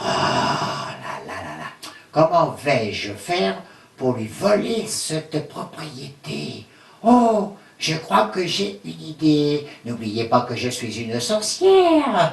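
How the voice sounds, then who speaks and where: A cartoonish character voice speaks at a very slow pace with a slight echo. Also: man, fairly high pitch for a man. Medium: puppet.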